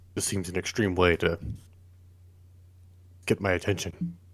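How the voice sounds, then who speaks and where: A man performs a put-on character voice. His pitch is very deep and low, and his intonation stays monotone and flat. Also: moderate pace. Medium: actual play.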